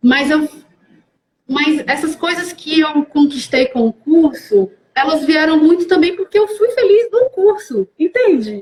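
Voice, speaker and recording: A woman's high voice with very wide pitch swings, fairly slow, in a dry, close sound with no echo. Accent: northeastern Brazilian. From Brazil, Fortaleza, Ceará (Northeast). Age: 30s. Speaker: actress. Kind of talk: live-stream interview. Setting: online live stream.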